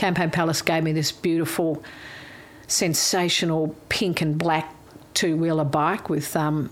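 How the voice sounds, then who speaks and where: Fairly low, flat, monotone speech from a woman with an Australian accent, at a fairly slow pace. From Melbourne bayside, Australia. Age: 60s. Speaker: interview guest. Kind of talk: casual chat.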